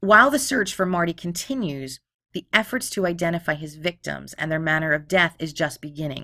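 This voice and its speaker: Speaking fairly quickly with an American accent, a woman with a fairly low pitch uses lively intonation in a bright, sharp tone. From Philadelphia, Pennsylvania. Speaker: true crime podcast host. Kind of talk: storytelling narration. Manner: casual, profane.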